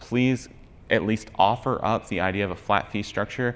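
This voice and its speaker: Fairly even intonation from a male speaker. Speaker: travel content creator and conference speaker. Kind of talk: conference talk. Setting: stage with audience. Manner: fast.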